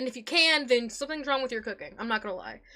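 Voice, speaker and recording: Over noticeable background noise, a woman talks very fast in a high pitch with lively intonation. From Puerto Rican and Italian heritage. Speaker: streamer. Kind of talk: live stream chat. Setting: live stream. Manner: energetic.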